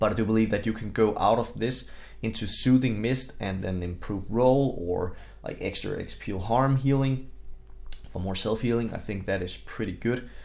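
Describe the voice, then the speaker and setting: A man with a strong Danish accent and a fairly low pitch, plus audible room echo. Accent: very strong Danish. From Denmark. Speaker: gaming content creator. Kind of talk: game tutorial. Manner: casual, with fillers.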